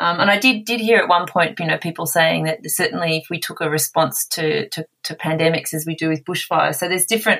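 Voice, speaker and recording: A woman with fairly low pitch and an ordinary speaking voice. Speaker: associate professor. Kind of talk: interview.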